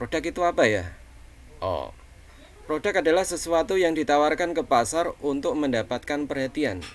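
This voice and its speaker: A man with a Javanese accent talks at a moderate pace. His pitch is fairly high, and his intonation is lively. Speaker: college lecturer. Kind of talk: online lecture. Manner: casual, many fillers.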